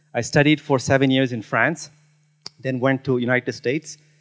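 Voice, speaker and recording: A quiet background and a man talking at a moderate pace. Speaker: keynote speaker. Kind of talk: conference talk. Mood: personal storytelling, engaged. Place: hall. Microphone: handheld.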